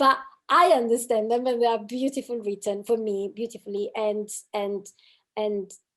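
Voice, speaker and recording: A woman speaks with a non-native accent and a fairly high pitch. Her intonation stays fairly even. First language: not English. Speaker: podcast co-host. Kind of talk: casual conversation.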